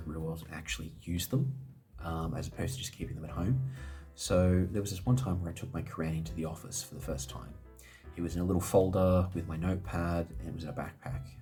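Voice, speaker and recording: Very fast and very deep, a man's low voice moves with lively intonation. Music plays in the background. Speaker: fountain pen reviewer. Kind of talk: casual product review to camera.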